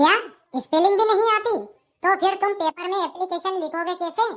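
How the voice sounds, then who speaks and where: A put-on, squeaky character voice at an extremely high pitch goes along at a moderate pace. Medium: voice reel. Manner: exasperated, lecturing.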